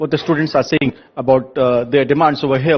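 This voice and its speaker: This man's intonation is fairly even. He talks at a very fast pace. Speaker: news reporter. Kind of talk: field report with interviews. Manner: halting, many fillers and restarts.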